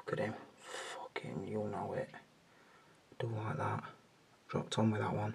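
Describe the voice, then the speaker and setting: Quiet and broken by long, frequent pauses, a man's voice comes through over noticeable background noise. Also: moderate pace. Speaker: action figure collector, video creator. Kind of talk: casual hobby vlog, hands-on commentary. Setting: at home, bedroom at night. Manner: talking quietly.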